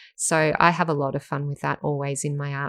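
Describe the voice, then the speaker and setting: Someone speaks with an Australian accent at a fairly quick pace, with ordinary pitch variation. The background is quiet. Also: woman. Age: 40s. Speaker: professional artist and podcast host. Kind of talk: casual interview chat.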